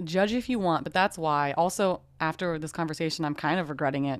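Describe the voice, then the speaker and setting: A woman has a plain, everyday voice with a fairly low pitch. She talks at a fairly quick pace with ordinary pitch variation. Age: 30s. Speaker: podcast co-host. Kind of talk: casual chat. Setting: video call.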